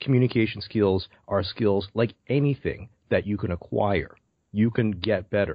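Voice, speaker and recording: This man has an ordinary speaking voice with a Canadian accent and fairly low pitch. His pace is moderate and his pitch variation ordinary. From Canada, Brampton near Toronto. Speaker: public speaking coach. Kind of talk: interview.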